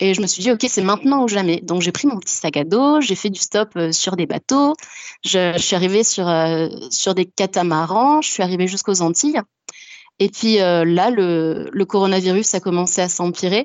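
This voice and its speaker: A woman speaks at a moderate pace and medium pitch, her intonation lively. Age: 20s. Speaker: cabinetmaker calling in to a radio show. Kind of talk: testimony on a live call-in show. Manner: energetic.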